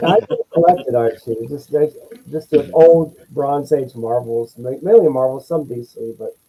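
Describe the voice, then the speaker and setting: A dark, mellow tone, somewhat breathy. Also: man. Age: 60s. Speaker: comic book collector. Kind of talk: casual chat.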